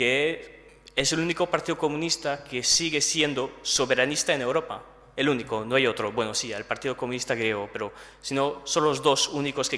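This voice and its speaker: A man with a French accent and a fairly high pitch speaks at a moderate pace over noticeable background noise. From France. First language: French (speaking Spanish). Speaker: political speaker. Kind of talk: lecture. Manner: halting.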